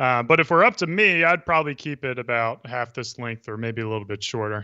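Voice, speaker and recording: This man has an ordinary speaking voice at a medium pitch, with an American accent. He talks at a fairly quick pace with lively intonation and hardly any pauses. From Texas. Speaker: beard brand founder and social media personality. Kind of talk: casual interview. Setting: video call.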